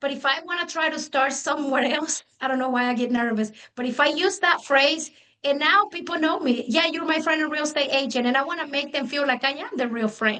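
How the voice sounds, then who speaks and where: A woman with a Spanish accent speaks in a raised, projected voice that is high-pitched, bright and sharp. She talks fairly quickly with ordinary pitch variation. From Mexico. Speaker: real estate agent. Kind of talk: panel discussion.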